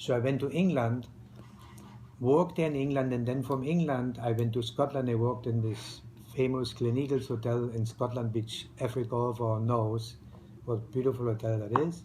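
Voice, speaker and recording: A man with a German accent speaks at a medium pitch and a moderate pace, his voice somewhat breathy with a dark, mellow tone. His intonation is fairly even, and room echo is audible. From East Germany. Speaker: retired restaurateur, immigrant. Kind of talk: interview. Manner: halting, with many fillers.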